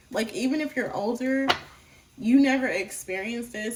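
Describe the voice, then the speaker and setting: A woman is heard over noticeable background noise. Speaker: tarot reader. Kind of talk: tarot reading.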